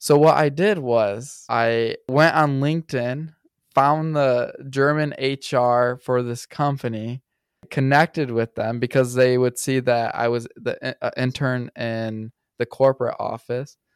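On a very clean recording with a silent background, a man with a Midwestern US accent speaks at a medium pitch, at a fairly slow pace and with fairly even intonation. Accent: US Midwest. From Michigan, US. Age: 20s. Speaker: content creator. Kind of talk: casual chat.

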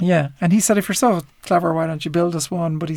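A man talks at a very fast pace with an Irish accent. His pitch is high and varies in an ordinary way. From Ireland. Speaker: entrepreneur. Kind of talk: interview. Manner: hesitant fillers.

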